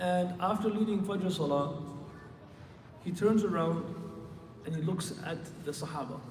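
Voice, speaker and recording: Soft-spoken and high-pitched, a man with an American accent speaks at a moderate pace with ordinary pitch variation and long, frequent pauses. Audible room echo and noticeable background noise are present. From Michigan, US. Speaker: Islamic scholar, preacher. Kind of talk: sermon. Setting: mosque with congregation, PA system. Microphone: handheld mic, too quiet upstairs.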